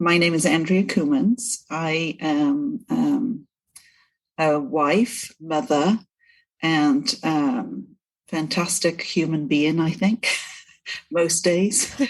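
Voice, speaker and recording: A woman with a Welsh accent speaks at a very slow pace, with long, frequent pauses. Her fairly low voice makes very wide pitch swings while her loudness stays very even. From Wales, Cardiff. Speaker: breast cancer survivor, prosthetist, sales director. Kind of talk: podcast interview.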